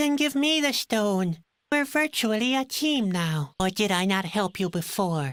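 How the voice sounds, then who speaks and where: A put-on character voice, female-sounding, at a medium pitch and moderate pace, in a very clean recording with a silent background. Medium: video game. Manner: pessimistic, sardonic.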